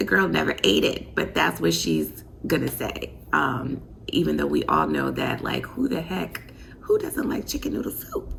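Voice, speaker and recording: A quiet woman speaks over noticeable background noise. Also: moderate pace. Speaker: vlogger, mom. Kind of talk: casual vlog talk to camera. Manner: quiet, talking low.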